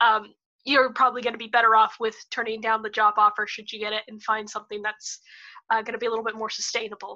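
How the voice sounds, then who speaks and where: A woman's fairly high, bright, sharp voice at a very fast pace. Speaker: student podcast host. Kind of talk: casual interview.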